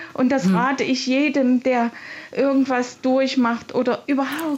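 Noticeable background noise accompanies a woman's high-pitched voice. She speaks at a fairly slow pace. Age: 60s. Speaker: caller, mother. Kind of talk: phone-in testimony.

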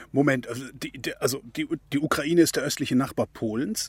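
Somewhat breathy and fairly high-pitched, a man's voice comes through with a dry, close sound with no echo, on a very clean recording with a silent background. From Germany. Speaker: radio host. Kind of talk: interview.

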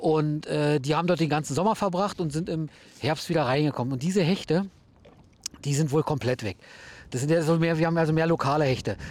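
A man talks at a very fast pace with fairly high pitch and ordinary pitch variation. His speech has long, frequent pauses. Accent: Berlin-Brandenburg. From Brandenburg (Hennigsdorf, near Berlin). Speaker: fishing guide. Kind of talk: casual chat. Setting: outdoors.

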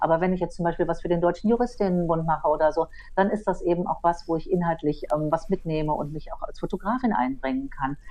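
Speech moves at a very fast pace. The pitch varies in an ordinary way. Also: woman, fairly low pitch for a woman. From Berlin, Germany. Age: 50s. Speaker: photographer and online editor. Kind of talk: casual discussion. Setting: remote line.

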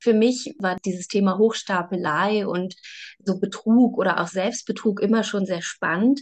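In an unremarkable speaking voice, a woman speaks at a fairly slow pace with a medium pitch and ordinary pitch variation over a quiet background. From Saxony, eastern Germany (Bautzen). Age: 30s. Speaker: novelist and journalist. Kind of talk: interview.

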